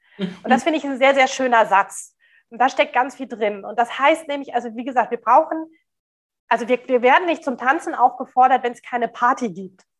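The speech moves at a fairly quick pace. Pitch variation is ordinary. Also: woman, high pitch for a woman. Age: 40s. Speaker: diversity consultant and speaker. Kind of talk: interview.

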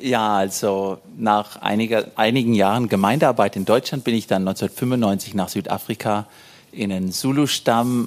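At a fairly slow pace, a man with a plain, everyday voice speaks at a fairly low pitch with ordinary pitch variation. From Germany, Hesse. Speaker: missionary. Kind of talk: church interview.

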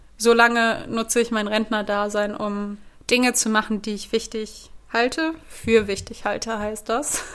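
This woman's voice sits at a fairly high pitch. She speaks at a very slow pace. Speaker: podcast host, former actress. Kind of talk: solo podcast monologue. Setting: home recording with a recorder.

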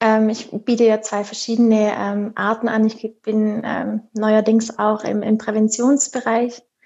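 Speaking fairly slowly, a woman with a fairly high pitch keeps a monotone, flat intonation. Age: 30s. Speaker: sleep consultant and mother. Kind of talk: interview.

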